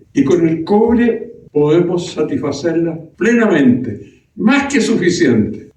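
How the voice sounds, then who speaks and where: A man's dark, mellow voice, high in pitch with very wide pitch swings, at a very slow pace with hardly any pauses. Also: very even loudness. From Chile, Araucanía region. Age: 90s. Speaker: former senator, politician. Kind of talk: political speech. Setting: meeting with audience.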